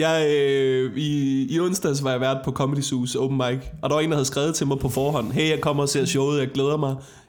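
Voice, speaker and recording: Delivered at a moderate pace with hardly any pauses, the voice keeps a monotone, flat intonation and very even loudness, with audible room echo around it. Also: man, fairly high pitch for a man. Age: 20s. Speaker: comedian. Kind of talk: casual chat. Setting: home kitchen.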